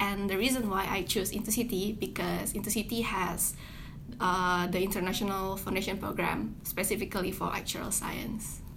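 Someone talks at a moderate pace in a flat monotone with vocal fry and audible room echo. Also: woman, medium pitch for a woman. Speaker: student. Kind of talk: interview.

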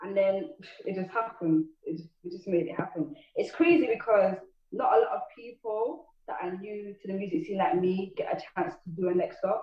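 A woman with a Manchester accent talks at a moderate pace in a medium pitch, her pitch swinging very widely. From Manchester, England. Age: young. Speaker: rapper and music artist. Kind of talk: interview. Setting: remote call.

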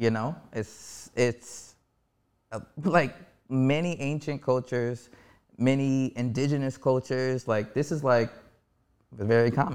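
A man with an American accent speaks at a fairly slow pace and a medium pitch, leaving long, frequent pauses, on a very clean recording with a silent background. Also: ordinary pitch variation. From Harlem, New York City. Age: 30s. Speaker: musician. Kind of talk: casual interview conversation.

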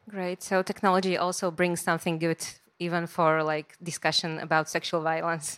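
A woman's fairly low, monotone voice with flat intonation, in a Slovak accent at a moderate pace, on a very clean recording with a silent background. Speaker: moderator, newsletter co-founder. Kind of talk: public talk interview. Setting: stage with audience.

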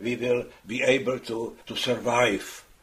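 A man talks over noticeable background noise. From Czech Republic, Prague. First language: Czech. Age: 80s+. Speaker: Holocaust survivor. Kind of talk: interview, testimony. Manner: halting, many fillers.

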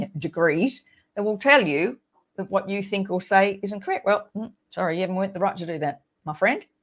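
A woman with an Australian accent talks at a fairly quick pace with ordinary pitch variation, recorded very cleanly against a silent background. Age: 60s. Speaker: podcast host, midlife coach. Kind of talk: solo monologue podcast. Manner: animated.

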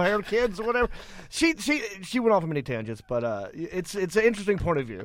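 A high-pitched man with a Southern US accent, very fast, over noticeable background noise. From Hickory, North Carolina (US South). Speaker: comedian, podcaster. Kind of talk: casual chat about movies.

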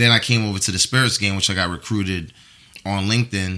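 With a New York accent, a man speaks at a very deep, low pitch. His tone is bright and sharp. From US Northeast, New York (the Bronx). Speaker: brand marketing manager. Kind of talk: casual chat.

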